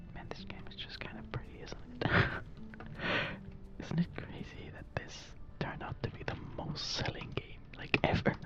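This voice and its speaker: A relaxed, whispered voice comes through over noticeable background noise. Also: moderate pace. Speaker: ASMR creator. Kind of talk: ASMR gaming commentary, casual talk. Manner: whispered, rambling, relaxed.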